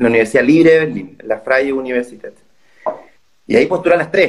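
A man is speaking. He has a Chilean accent. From northern Chile (Calama, Antofagasta). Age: 30s. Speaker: master's student, journalist. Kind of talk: casual interview chat.

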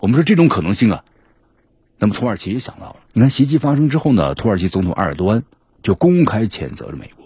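A man with a dark, mellow tone and vocal fry speaks very fast at a medium pitch, swinging it very widely. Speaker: news commentary show host. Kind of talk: news commentary monologue. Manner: animated, conversational with many fillers.

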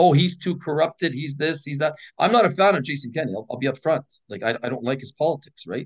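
A man with a Canadian accent talks at a very fast pace in a fairly high, somewhat breathy voice, with ordinary pitch variation and big swings in loudness. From Edmonton, Alberta, Canada. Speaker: political candidate and sheriff. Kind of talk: casual interview.

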